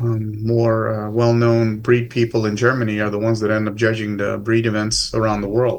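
A man speaks at medium pitch and a moderate pace. It is a normal speaking voice. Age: 50s. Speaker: dog sport judge and club president. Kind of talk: casual interview.

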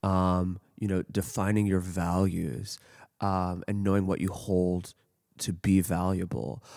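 A man's very deep, low voice has a dark, mellow tone on a very clean recording with a silent background. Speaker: podcast host. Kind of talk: interview conversation. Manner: enthusiastic.

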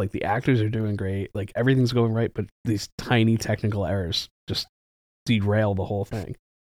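A man with an unremarkable speaking voice talks at a moderate pace, his pitch fairly low with ordinary variation. The sound is dry and close with no echo. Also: very clean recording, silent background. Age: 40s. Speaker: movie theater manager. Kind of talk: casual chat. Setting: studio.

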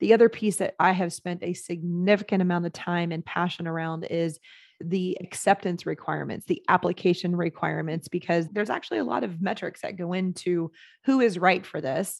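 A woman with an American accent and a normal speaking voice talks at a fairly quick pace, her fairly low pitch showing ordinary variation against a quiet background. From Texas, San Antonio. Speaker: operations consultant and program founder. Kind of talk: interview.

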